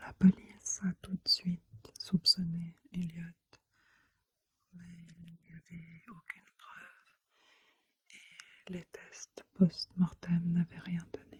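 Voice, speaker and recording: Whispering at a very slow pace, the voice leaves long, frequent pauses. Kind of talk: soft-spoken ASMR true crime narration. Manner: soft-spoken, whispery.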